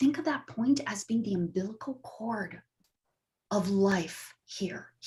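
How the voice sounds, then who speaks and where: The recording is very clean, with a silent background. The pace is very slow. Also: woman. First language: not English. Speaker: astrologer. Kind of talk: talk show explanation.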